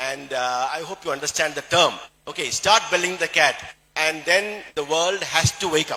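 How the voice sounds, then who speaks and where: Speech with a Keralan accent moves at a moderate pace with ordinary pitch variation. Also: man, fairly high pitch for a man. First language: Malayalam. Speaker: plastic surgeon and network marketing speaker. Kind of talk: motivational health talk to audience. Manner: halting, with frequent fillers.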